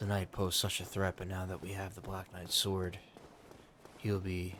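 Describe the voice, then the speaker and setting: Soft-spoken and very deep, a man talks at a moderate pace in a monotone, flat intonation. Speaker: ASMR gaming channel host. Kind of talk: role-play narration of the game story in third person. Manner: soft-spoken, relaxing.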